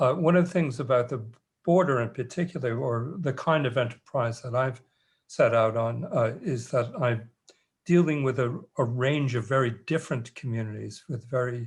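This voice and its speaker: A somewhat breathy man in an American accent, medium in pitch, with ordinary pitch variation and a moderate pace, against a quiet background. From New York. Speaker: anthropologist and author. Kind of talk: panel discussion. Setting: video call. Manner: halting.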